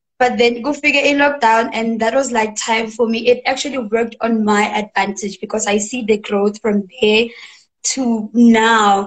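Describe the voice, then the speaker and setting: Against a quiet background, a woman speaks at a fairly high pitch, somewhat breathy, with fairly even intonation. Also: moderate pace. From South Africa. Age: young. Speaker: singer-songwriter. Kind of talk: interview answer. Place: home room. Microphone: video call.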